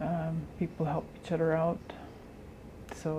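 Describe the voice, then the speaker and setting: This is a woman speaking. Her pace is moderate. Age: 40s. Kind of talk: documentary interview.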